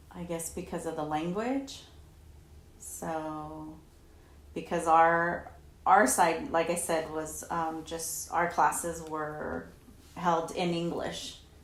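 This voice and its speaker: A woman speaks at a very slow pace with ordinary pitch variation and long, frequent pauses. Her loudness swings widely, and the room echo is audible. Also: fairly low pitch for a woman. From Southern California. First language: Spanish. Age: 40s. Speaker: interviewee, mother of interviewer. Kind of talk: oral history interview. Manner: hesitant, filler words.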